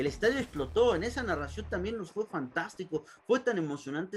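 Talking at a fairly quick pace is a man. His pitch swings very widely. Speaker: sports commentator. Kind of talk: interview.

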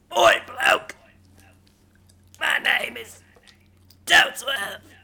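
A man does a put-on character voice in a London accent. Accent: Cockney British.

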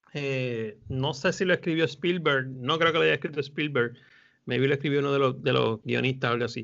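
A man speaks at a fairly quick pace with a fairly high pitch and vocal fry. His pitch varies in an ordinary way. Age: 40s. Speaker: film podcast panelist, teacher. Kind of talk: casual chat.

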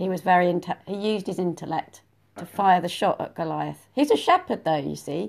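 Talking at a very fast pace, a woman with a fairly low pitch and vocal fry has an animated tone and ordinary pitch variation. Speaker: podcast host. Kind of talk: casual chat. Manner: animated, joking.

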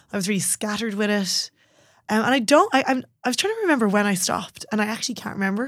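A woman's fast-paced voice, very quick and fairly high in pitch, with a Dublin accent, ordinary pitch variation, and a very clean recording with a silent background. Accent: Dublin Irish. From Ireland, Dublin. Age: 30s. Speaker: personal trainer. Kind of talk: casual chat. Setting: studio.

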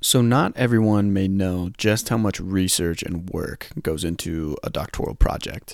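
In a very clean recording with a silent background, a man with an unremarkable speaking voice talks at a fairly slow pace and fairly low pitch, with ordinary pitch variation and hardly any pauses. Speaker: podcast host and occupational therapy student. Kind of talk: casual interview.

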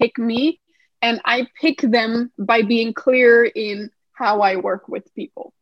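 A woman with a Danish accent speaks at a very slow pace, fairly high in pitch with fairly even intonation. The sound is dry and close, with no echo. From Denmark. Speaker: numerologist and writer. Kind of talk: interview conversation.

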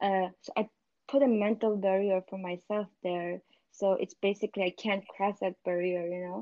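A woman with a Xinjiang accent speaks at a moderate pace in a medium pitch. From northwestern China (Uyghur region). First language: Uyghur. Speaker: scientist. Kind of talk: casual interview.

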